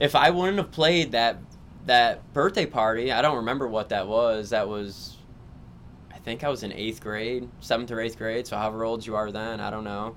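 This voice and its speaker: The man has a normal speaking voice, medium in pitch, with ordinary pitch variation. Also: moderate pace. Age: 30s. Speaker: amateur paintball player and construction worker. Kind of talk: casual chat.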